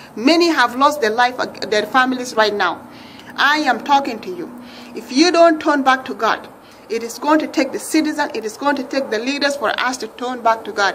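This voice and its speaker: A woman talks at a moderate pace with a high pitch and ordinary pitch variation. Her loudness swings widely, and there is noticeable background noise. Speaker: religious video blogger. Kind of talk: impassioned religious appeal. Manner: rising pitch when upset; emphatic, repetitive.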